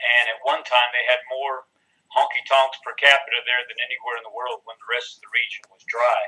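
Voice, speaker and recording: A man with a Texas accent talks at a fairly quick pace and medium pitch, his intonation lively and his loudness swinging widely. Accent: Texas twang. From Texas Hill Country. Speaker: country singer-songwriter. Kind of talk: interview. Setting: video call.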